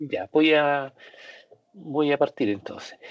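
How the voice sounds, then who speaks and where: A man speaks in a Chilean accent at a fairly high pitch. The recording is dry and close with no echo and has a quiet background. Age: 60s. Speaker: psychiatrist and doctoral student. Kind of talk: academic presentation. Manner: halting, many fillers.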